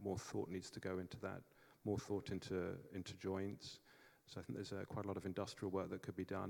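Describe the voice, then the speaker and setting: In an English accent, a man talks at a fairly quick pace in a very deep, low voice with monotone, flat intonation. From England. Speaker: energy project developer, panelist. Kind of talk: conference panel talk. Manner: hesitant, many fillers.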